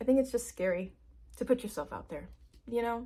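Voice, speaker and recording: Talking at a very fast pace, a woman shows vocal fry and ordinary pitch variation. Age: 20s. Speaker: new YouTuber. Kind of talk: casual vlog monologue.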